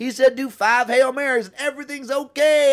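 This man's voice is raised and projected, with a bright, sharp tone. His pitch is extremely high, and he talks at a fairly quick pace. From Canada. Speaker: comedian. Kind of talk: casual chat.

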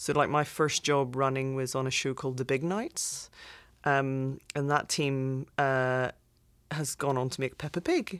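With a British accent, a woman speaks at a fairly slow pace and a very deep, low pitch, her intonation fairly even on a very clean recording with a silent background. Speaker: visual effects executive. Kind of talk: casual interview.

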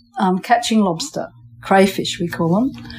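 A woman in an Australian accent speaks at a medium pitch with ordinary pitch variation. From England, moved to Western Australia at five. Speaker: island fisher and pearl farmer, artist. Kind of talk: casual interview. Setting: on location on an island. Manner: halting, with repeated words.

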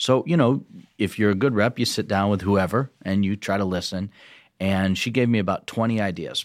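In a normal speaking voice, a man with an American accent talks at a moderate pace and a fairly low pitch, with ordinary pitch variation. The recording is very clean with a silent background. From rural Michigan, Ovid-Elsie. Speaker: state legislator. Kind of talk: interview conversation. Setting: studio.

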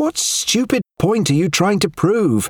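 A man's put-on character voice, high-pitched and shrill, with very wide pitch swings at a fairly slow pace. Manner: hectoring, snapping.

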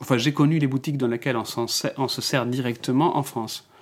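Noticeable noise runs behind speech delivered at a medium tempo. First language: Spanish (speaking French). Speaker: visual artist. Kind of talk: personal storytelling interview. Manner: halting, with frequent repetitions and hesitations.

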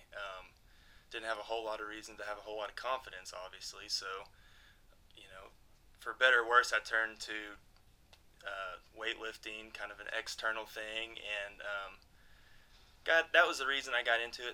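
Bright and sharp in tone, the speaker uses a Texan accent with fairly even intonation and long, frequent pauses. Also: man, medium pitch for a man, moderate pace, big swings in loudness. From Texas, Abilene. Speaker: EMT and personal trainer. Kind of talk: casual interview chat.

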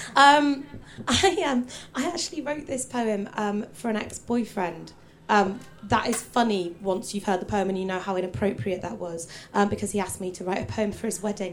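Noticeable background noise runs behind a woman whose intonation is lively. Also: medium pitch for a woman, moderate pace. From Hull, northern England. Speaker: poet. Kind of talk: stage poetry performance. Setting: stage with audience.

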